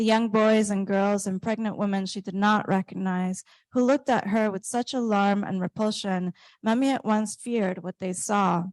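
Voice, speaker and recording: A woman with a Spanish accent speaks at a medium pitch and moderate pace with fairly even intonation, sounding dry and close with no echo over a quiet background. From Colombia. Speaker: author. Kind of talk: reading aloud; onstage interview. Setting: stage with audience.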